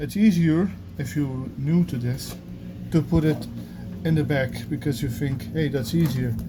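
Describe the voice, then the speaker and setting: A man with a non-native accent, fairly high-pitched with ordinary pitch variation, at a fairly slow pace with long, frequent pauses, amid audible room echo and noticeable background noise. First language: not English. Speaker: gardener. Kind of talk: tutorial. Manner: halting.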